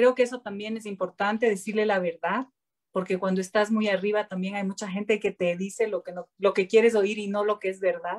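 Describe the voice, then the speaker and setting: Over a silent background in a very clean recording, a woman talks at a fairly quick pace. Her medium-pitched voice stays monotone and flat. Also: dry, close sound with no echo. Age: 50s. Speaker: politician. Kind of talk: panel discussion.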